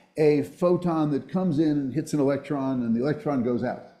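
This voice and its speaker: Audible room echo carries a man's voice, dark and mellow in tone, with lively intonation and an American accent. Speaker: physics professor. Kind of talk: lecture. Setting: auditorium with audience. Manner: fast.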